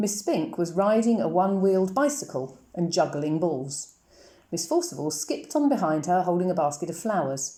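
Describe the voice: What you hear is plain reading aloud.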